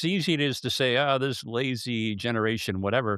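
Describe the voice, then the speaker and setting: The pace is fairly quick. This is an ordinary speaking voice, and its pitch varies in an ordinary way. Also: man. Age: 60s. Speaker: podcast host. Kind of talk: podcast interview.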